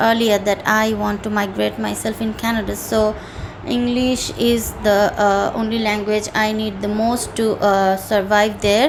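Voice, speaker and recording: Speaking fairly slowly with a Bengali accent, a woman has a fairly high pitch. Audible room echo and noticeable background noise are present. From Bangladesh. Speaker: IELTS candidate. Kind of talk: mock speaking exam. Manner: halting, many fillers.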